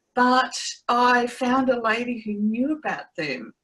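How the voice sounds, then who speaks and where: A woman speaks at a fairly slow pace in a bright, sharp tone. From Australia. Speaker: trauma recovery coach. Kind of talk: interview testimony.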